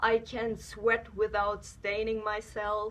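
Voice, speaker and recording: A woman's medium-pitched voice with a non-native accent. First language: not English. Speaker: beauty vlogger. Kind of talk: product review. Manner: hesitant, with many fillers.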